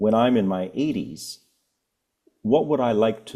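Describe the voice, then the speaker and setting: A man with a Canadian accent, a normal speaking voice, ordinary pitch variation and a moderate pace, on a very clean recording with a silent background. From Canada. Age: 60s. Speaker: author and family wealth advisor. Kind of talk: podcast interview. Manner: measured, explanatory.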